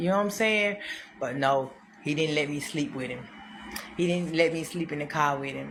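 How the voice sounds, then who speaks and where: A woman with a very deep, low voice speaks at a moderate pace, using ordinary pitch variation and long, frequent pauses. Audible room echo and noticeable background noise fill the recording. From Mississippi, US South. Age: 30s. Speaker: street preacher. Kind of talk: testimony. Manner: animated; repetitive.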